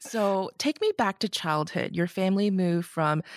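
With a Canadian accent and an ordinary speaking voice, a woman talks at a moderate pace in a very clean recording with a silent background and a dry, close sound with no echo. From Canada, Markham, Ontario. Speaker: podcast host. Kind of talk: interview.

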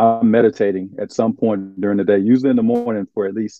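A man with an Arkansas accent, fairly low in pitch, at a fairly quick pace. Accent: Southern US (Arkansas). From US South, eastern Arkansas. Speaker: former pro basketball player, nonprofit founder. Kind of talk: interview.

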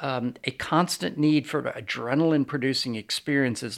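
An American accent from a man with a medium pitch and ordinary pitch variation. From New York City area. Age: 60s. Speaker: business founder. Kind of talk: interview.

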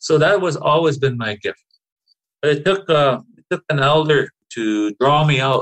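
A man speaks at a fairly slow pace in a somewhat breathy voice. His pitch variation is ordinary. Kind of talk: interview conversation.

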